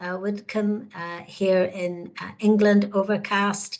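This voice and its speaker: In a Northern Irish accent, the voice moves at a very slow pace with a warm tone. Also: woman. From Northern Ireland. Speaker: webinar host, career researcher. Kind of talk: webinar presentation. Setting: online webinar. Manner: warm, hesitant with frequent fillers.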